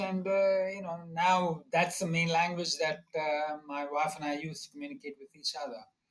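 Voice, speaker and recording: With a Tamil accent, a man talks at a moderate pace in a high pitch, with ordinary pitch variation, big swings in loudness and hardly any pauses. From India (Bombay, South Indian family). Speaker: economics professor. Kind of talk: interview. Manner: halting, many fillers.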